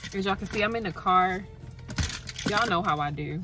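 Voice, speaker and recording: Clear music plays in the background as a woman speaks with ordinary pitch variation in a dry sound with no echo. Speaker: beauty vlogger. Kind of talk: casual vlog chat. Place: car. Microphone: phone near.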